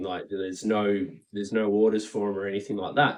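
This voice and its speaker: Fairly quick speech from a man with an Australian accent, fairly low in pitch, in monotone, flat intonation. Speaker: Pokemon card collector and YouTuber. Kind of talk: casual commentary monologue. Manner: casual, many filler words.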